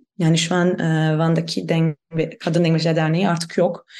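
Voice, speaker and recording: Using a German accent, a woman speaks at a moderate pace in a dark, mellow tone. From Germany. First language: German (speaking Turkish). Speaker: anthropologist. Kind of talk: interview. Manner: halting.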